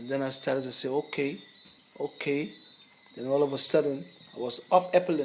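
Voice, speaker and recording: Speech with ordinary pitch variation moves at a fairly quick pace, broken by long, frequent pauses, over noticeable background noise. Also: man, fairly high pitch for a man. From Grenada. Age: 60s. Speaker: herbalist. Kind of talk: interview. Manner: halting.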